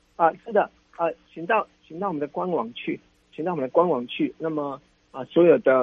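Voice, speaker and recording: The pitch shows ordinary variation. The speaker is a man. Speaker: city tourism official. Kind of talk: radio interview. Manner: halting, many fillers.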